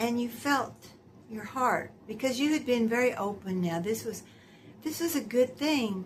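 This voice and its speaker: Amid noticeable background noise, a woman with a fairly high pitch speaks at a fairly slow pace with lively intonation. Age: 70s. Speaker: lifestyle vlogger. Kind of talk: casual monologue. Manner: conversational, with hesitations.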